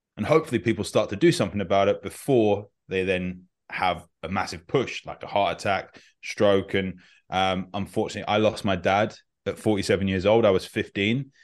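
A man with an unremarkable speaking voice talks at a fairly quick pace in a fairly low pitch, with ordinary pitch variation and a quiet background. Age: 30s. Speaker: functional medicine doctor and health coach. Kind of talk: interview.

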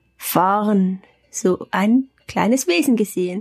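At a very slow pace, a woman speaks at medium pitch with ordinary variation, somewhat breathy, in a dry, close sound with no echo. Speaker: spiritual practitioner. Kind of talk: casual chat. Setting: holiday hut in the Alps.

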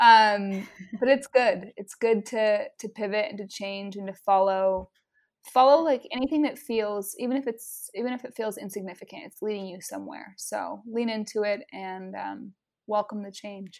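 Woman in an ordinary speaking voice with an American accent, fairly high pitch, ordinary pitch variation, moderate pace and big swings in loudness, on a very clean recording with a silent background. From Utah. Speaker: photographer and marketing strategist. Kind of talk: interview conversation.

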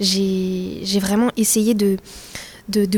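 Her medium-pitched voice has a dark, mellow tone, and this woman speaks in a monotone, flat intonation. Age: 20s. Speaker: student. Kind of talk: interview testimony. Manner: halting.

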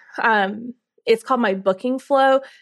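A woman with a Southern US accent, fairly even intonation, and a quiet background. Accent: Southern US (Georgia). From US South, Carrollton, Georgia. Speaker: tour business owner. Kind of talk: interview.

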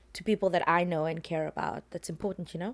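A woman with a fairly low pitch is heard on a very clean recording with a silent background. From South Africa, Cape Town. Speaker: podcast guest. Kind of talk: casual chat. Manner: laughs often.

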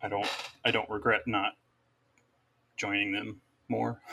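A bright, sharp tone with vocal fry, monotone, flat intonation and a moderate pace. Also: man. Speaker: guest sharing her story. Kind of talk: casual chat.

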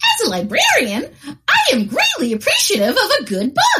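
A high, female-sounding voice is put on as a character. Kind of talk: mock commercial read. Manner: polite, earnest.

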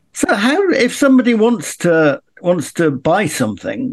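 A man's voice with very wide pitch swings. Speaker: podcast co-host and interviewer. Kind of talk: interview.

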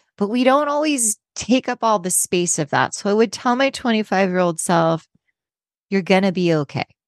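A woman with a plain, everyday voice, medium in pitch, her intonation lively, at a moderate pace, in a dry, close sound with no echo against a quiet background. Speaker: author and travel writer. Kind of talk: interview.

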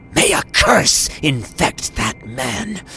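A man's put-on character voice, hissing at medium pitch over light background noise. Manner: cursing.

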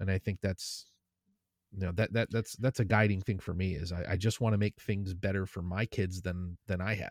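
Dry, close sound with no echo, fairly even intonation, and a very clean recording with a silent background. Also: man, very deep, low pitch for a man, moderate pace. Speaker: podcaster and content creator. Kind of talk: casual chat.

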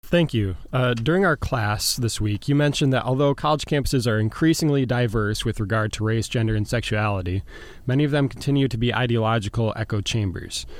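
A man's medium-pitched voice, an ordinary speaking voice, at a fairly quick pace with ordinary pitch variation and hardly any pauses, on a very clean recording with a silent background. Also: very even loudness. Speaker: college student interviewer. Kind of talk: interview questions.

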